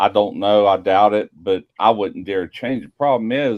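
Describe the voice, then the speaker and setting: At a fairly slow pace, a man uses an ordinary speaking voice with a fairly low pitch. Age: 60s. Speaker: barbecue YouTuber. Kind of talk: casual chat.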